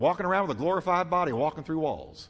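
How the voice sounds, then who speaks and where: A man speaks over a quiet background. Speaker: pastor. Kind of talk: sermon; call-and-response preaching, prompting congregation to say amen. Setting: church. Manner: rhetorical questions answered in quick succession, teaching cadence; repetitive, emphatic, with light humor.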